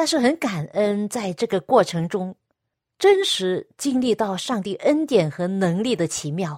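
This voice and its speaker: On a very clean recording with a silent background and a dry, close sound with no echo, a woman speaks at a medium pitch and a fairly slow pace with very wide pitch swings. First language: Cantonese (speaking Chinese). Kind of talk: radio devotional talk.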